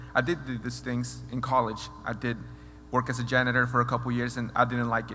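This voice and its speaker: Someone with a Spanish accent talks at a very fast pace in a monotone, flat intonation, with audible room echo. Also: man. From Mexico. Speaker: mentoring program alumnus. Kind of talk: speech. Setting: stage with audience. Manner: halting.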